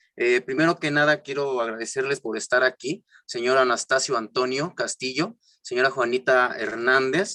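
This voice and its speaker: Speaking with a southern Mexican accent, a man talks at a fairly slow pace. His tone is bright and sharp, with a dry, close sound and no echo. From Mexico, Juchitán de Zaragoza, Oaxaca. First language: Isthmus Zapotec (speaking Spanish). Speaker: cultural promoter, panel moderator. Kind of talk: online panel discussion. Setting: virtual session.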